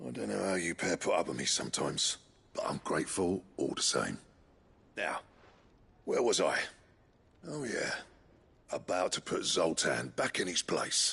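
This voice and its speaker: A man speaks in a raspy, put-on character voice at a moderate pace, with long, frequent pauses. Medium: video game. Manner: gruff.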